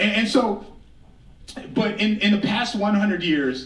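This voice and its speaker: Loud and lively in intonation, a man with an American accent speaks at a moderate pace and a high pitch amid audible room echo and noticeable background noise. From Blackfeet Reservation, Montana, Northern Plains. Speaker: author and storyteller, keynote speaker. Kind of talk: keynote speech. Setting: stage with audience.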